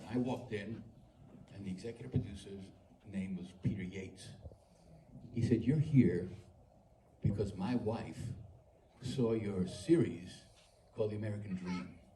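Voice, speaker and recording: A man with a fairly low, dark and mellow voice, somewhat breathy, speaks at a moderate pace with lively intonation, big swings in loudness, long and frequent pauses, and audible room echo. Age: 80s+. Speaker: actor. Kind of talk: panel Q&A remarks.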